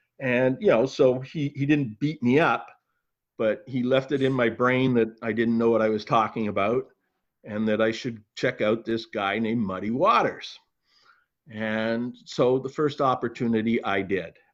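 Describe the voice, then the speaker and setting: With fairly even intonation, a man uses an ordinary speaking voice. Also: medium pitch for a man, moderate pace, quiet background. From Canada. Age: 60s. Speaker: retired museum executive and author. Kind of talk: interview.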